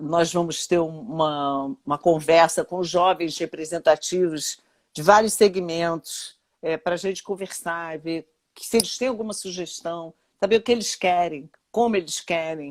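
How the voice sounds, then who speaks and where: A woman with a fairly low pitch speaks fairly slowly, with big swings in loudness, in a very clean recording with a silent background and a dry, close sound with no echo. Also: ordinary pitch variation. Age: 60s. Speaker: retired labour judge. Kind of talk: interview. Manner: halting.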